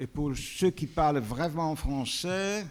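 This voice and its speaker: With a Belgian accent, a man speaks at a very slow pace. His pitch is fairly high, with ordinary pitch variation. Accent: Belgian-tinged French. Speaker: panel moderator, film restoration expert. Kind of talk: panel introduction. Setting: auditorium with audience. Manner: halting, many hesitations.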